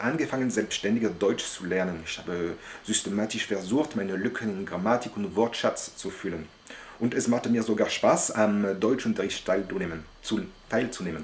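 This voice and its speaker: Noticeable background noise sits behind the voice. The speech moves at a fairly slow pace. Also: man. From France. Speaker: language learner, polyglot. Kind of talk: monologue to camera about language learning. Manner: halting, with hesitations.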